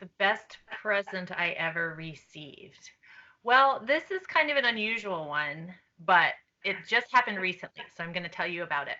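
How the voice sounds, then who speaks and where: A soft-spoken woman at a medium pitch and moderate pace, with lively intonation and big swings in loudness. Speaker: children's book author. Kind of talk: interview answers to students.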